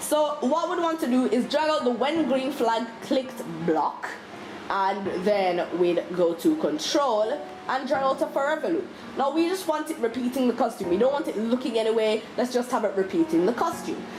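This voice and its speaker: High-pitched woman's voice with very wide pitch swings and a moderate pace, against noticeable background noise. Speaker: YouTube tutorial maker. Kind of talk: tutorial. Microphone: bad audio quality.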